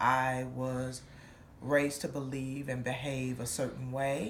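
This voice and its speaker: A woman with a very deep, low pitch speaks at a fairly slow pace, with audible room echo around her. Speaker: church member giving testimony. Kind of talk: testimony.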